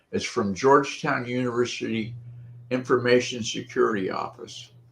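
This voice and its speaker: This man's voice is somewhat breathy and medium in pitch. He keeps a moderate pace and fairly even intonation. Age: 70s. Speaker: tech-savvy guest. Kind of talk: casual chat.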